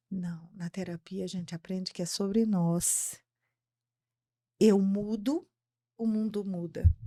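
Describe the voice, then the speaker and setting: At a very slow pace with long, frequent pauses, a woman speaks in a dark, mellow tone at medium pitch, her intonation fairly even but her loudness swinging widely. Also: very clean recording, silent background. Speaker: psychologist. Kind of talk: podcast interview.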